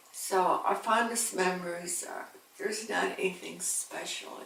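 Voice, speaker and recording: In an American accent, a woman speaks fairly slowly amid audible room echo and noticeable background noise. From New York State (Binghamton). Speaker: grandmother interviewee. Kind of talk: family interview. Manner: halting.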